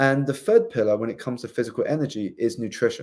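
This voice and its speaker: A man with a southern English accent and a dark, mellow tone speaks at a fairly quick pace with ordinary pitch variation on a very clean recording with a silent background. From southeast England. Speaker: life coach and author. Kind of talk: interview.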